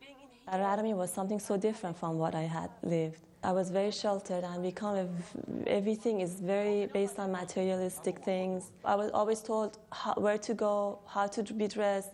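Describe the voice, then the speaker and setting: A woman with a Persian accent speaks at a fairly quick pace with hardly any pauses, a medium pitch, fairly even intonation and big swings in loudness, over noticeable background noise. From Iran. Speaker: interviewee, former student. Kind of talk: documentary interview. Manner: halting.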